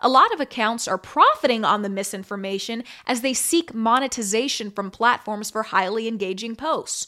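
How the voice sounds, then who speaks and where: On a very clean recording with a silent background, a woman with an American accent speaks at a moderate pace in a bright, sharp, animated voice that is fairly high, with ordinary pitch variation. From Kansas City, Missouri and Las Vegas. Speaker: podcast host and former TV news anchor. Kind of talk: solo commentary podcast.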